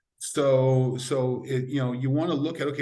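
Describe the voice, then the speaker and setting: With audible room echo, a man talks at a medium pitch in an American accent. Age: 60s. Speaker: sport scientist. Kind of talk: podcast interview.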